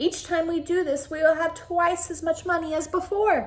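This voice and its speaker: Putting on a character voice, a woman speaks at a moderate pace in an extremely high, squeaky pitch. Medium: read story. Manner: loud.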